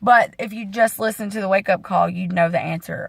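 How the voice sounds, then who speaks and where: With fairly even intonation, a woman talks in a medium-pitched, somewhat breathy voice. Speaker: fitness coach. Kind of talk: casual vlog training talk.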